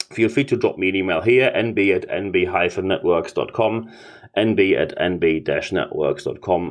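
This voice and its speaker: A man talks with a German accent. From Germany. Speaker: leadership consultant and podcast host. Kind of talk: business podcast talk.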